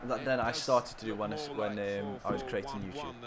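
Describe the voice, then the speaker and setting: A man with an English accent speaks at a moderate pace. His pitch varies in an ordinary way. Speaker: gaming streamer. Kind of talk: live game stream commentary. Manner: animated.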